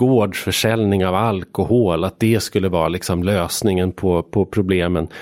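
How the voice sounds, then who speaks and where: The speech runs at a moderate pace with hardly any pauses, fairly even intonation, very even loudness, and a dry, close sound with no echo. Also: man, very deep, low pitch for a man. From Sweden, Hälsingland. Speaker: journalist and author. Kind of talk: casual interview.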